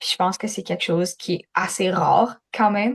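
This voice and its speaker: A woman speaks fairly slowly at a medium pitch with fairly even intonation, the sound dry and close with no echo. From Manitoba and Alberta, Canada. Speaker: youth francophone advocate. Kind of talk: interview testimony. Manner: hesitant, many fillers.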